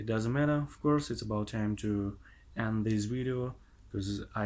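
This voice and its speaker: A man with a fairly low voice and a non-native accent, at a moderate pace, on a very clean recording with a silent background. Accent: non-native English pronunciation. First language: not English. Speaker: language learner vlogger. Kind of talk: casual monologue vlog. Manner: halting, many hesitations.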